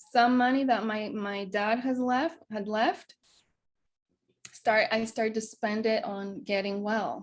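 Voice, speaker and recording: At a fairly slow pace, the talking shows ordinary pitch variation. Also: woman. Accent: Greek. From Greece. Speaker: wellness coach. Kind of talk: interview conversation. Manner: hesitant, many fillers.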